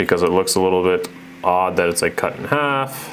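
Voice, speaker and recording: The voice moves at a moderate pace with ordinary pitch variation. Noticeable background noise is present. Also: man. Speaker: real estate photographer, vlogger. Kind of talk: tutorial. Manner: casual, halting.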